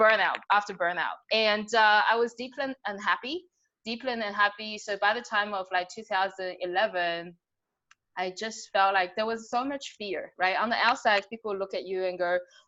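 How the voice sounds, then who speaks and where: A woman with a slight Australian accent speaks at a moderate pace and medium pitch, her bright, sharp tone held in fairly even intonation. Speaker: business coach. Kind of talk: podcast interview. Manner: casual, filler-heavy.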